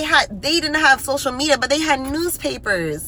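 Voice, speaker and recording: A raised, projected voice at a moderate pace, over noticeable background noise. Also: woman. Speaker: social media creator. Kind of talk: direct-to-camera monologue. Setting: self-recorded video. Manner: earnest, impassioned.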